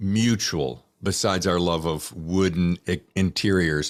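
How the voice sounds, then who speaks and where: A man talks with a North Carolina accent. His pace is moderate. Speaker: podcast host. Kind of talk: casual interview chat. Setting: video call. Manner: animated.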